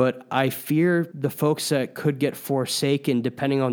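A man speaks in a normal speaking voice at medium pitch. The recording is very clean, with a silent background. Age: 20s. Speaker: venture capital investor. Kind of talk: commentary on financial news. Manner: frequent fillers, some repetitions.

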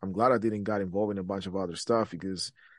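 A Spanish accent over a quiet background. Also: man. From Guatemala. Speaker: real estate agent and entrepreneur. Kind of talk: casual interview.

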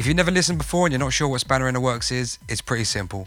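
A man's medium-pitched voice with lively intonation, vocal fry, and an upbeat, energetic tone

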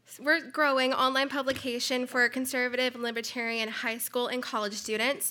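A woman speaks in a raised, projected voice, her pitch high and her tone bright and sharp. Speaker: conference introducer. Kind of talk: formal speaker introduction. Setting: conference stage with audience.

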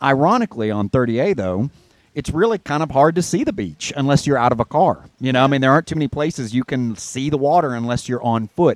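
A man's unremarkable speaking voice at a fairly quick pace with lively intonation. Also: fairly high pitch for a man, dry, close sound with no echo. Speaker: guest radio host. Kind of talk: radio interview.

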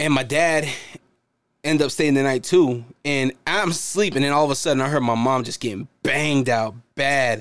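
Speaking at a moderate pace, a man has a plain, everyday voice with a fairly high pitch and ordinary pitch variation. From United States. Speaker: returning former podcast co-host. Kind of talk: casual chat.

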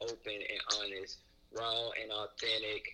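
A man talking at a fairly slow pace amid noticeable background noise. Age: 20s. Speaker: podcast listener. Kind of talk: casual chat.

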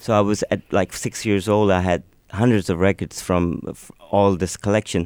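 With a Pakistani accent, a man talks at a moderate pace in a fairly low voice with fairly even intonation, on a very clean recording with a silent background and a dry, close sound with no echo. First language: Urdu. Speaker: singer-songwriter. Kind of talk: radio interview. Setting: studio.

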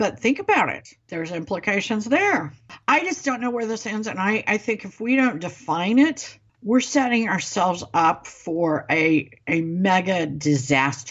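A woman with an American accent at a moderate pace, very wide pitch swings and big swings in loudness. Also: medium pitch for a woman. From US Midwest, Ozarks. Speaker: political podcast co-host. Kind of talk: casual political chat.

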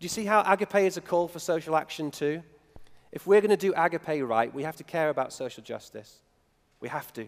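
A high-pitched man with a northern English accent and ordinary pitch variation. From northern England. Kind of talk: sermon. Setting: church. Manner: halting.

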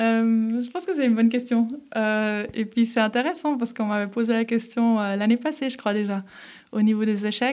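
At a moderate pace, a woman talks in a fairly high pitch with ordinary pitch variation and a plain, everyday voice. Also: very clean recording, silent background. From Geneva, Switzerland (from age 11). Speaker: former elite judoka and entrepreneur. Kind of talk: interview. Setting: studio.

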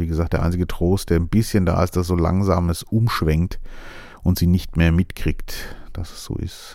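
A soft-spoken man talks at a moderate pace in a very deep, low pitch. His tone is dark and mellow, and his intonation is monotone and flat. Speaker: podcast host. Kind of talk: casual monologue. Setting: studio.

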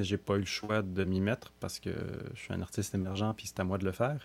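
At a moderate pace, a man speaks in a Quebec accent. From Montreal, Quebec. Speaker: singer-songwriter. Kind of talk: interview. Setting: remote from his home.

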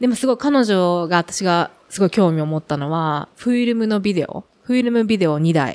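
Lively intonation marks a woman's ordinary speaking voice, medium in pitch, at a moderate pace with hardly any pauses, on a very clean recording with a silent background. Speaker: bicycle company representative. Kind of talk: casual chat.

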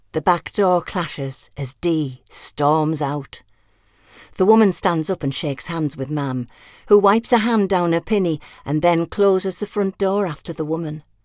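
This is a plain, everyday voice at a moderate pace with ordinary pitch variation. The sound is dry and close, with no echo. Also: woman, fairly low pitch for a woman. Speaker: audiobook narrator. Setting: studio. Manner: measured storyteller pace, warm and wistful, dry affectionate humour.

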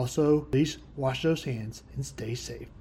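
Somewhat breathy and dark, mellow in tone, a man with an American accent speaks with fairly even intonation. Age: 20s. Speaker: sports podcast host. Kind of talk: casual chat.

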